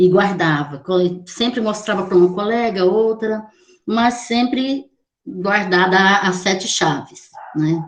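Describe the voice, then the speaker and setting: A woman talks fairly slowly, her medium pitch rising and falling in an ordinary way. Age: 60s. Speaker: poet. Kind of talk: panel discussion. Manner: halting.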